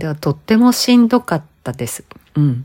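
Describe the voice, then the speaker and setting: This woman's voice has a dark, mellow tone. She talks at a moderate pace. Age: 50s. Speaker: image consultant and podcast host. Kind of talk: solo monologue podcast. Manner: conversational, many fillers.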